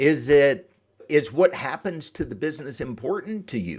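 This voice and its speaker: A man talks at a fairly high pitch with vocal fry and very wide pitch swings. The recording is very clean, with a silent background. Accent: slight Southern US. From US South, Atlanta Georgia area. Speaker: exit planning advisor. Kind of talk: podcast interview.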